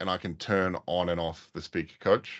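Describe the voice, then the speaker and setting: A man speaks with a New Zealand accent. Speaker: IT consultant. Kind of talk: webinar presentation. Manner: hesitant with many fillers.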